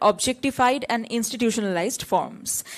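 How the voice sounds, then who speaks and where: Lively intonation marks this woman's speech. She talks at a fairly quick pace in a Bengali accent. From Bengal, India. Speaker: academic paper presenter. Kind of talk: conference paper presentation. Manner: formal, reading from prepared text.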